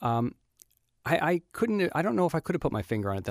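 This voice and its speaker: A man with an American accent, very fast pace and lively intonation, in a very clean recording with a silent background and a dry, close sound with no echo. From US. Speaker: TV writer and producer. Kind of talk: interview. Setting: studio.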